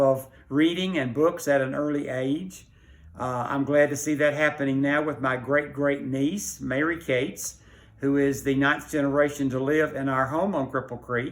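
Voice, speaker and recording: The speaker has a Middle Tennessee accent and a moderate pace. The intonation is monotone and flat. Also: man. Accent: Southern US (Middle Tennessee). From Tennessee, Rutherford County. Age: 80s+. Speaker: library patron. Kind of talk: personal reminiscence. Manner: hesitant with fillers.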